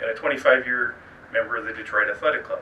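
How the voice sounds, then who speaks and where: Against noticeable background noise, a man talks with a Midwestern American accent. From Indiana. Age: 50s. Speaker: political candidate. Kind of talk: campaign speech.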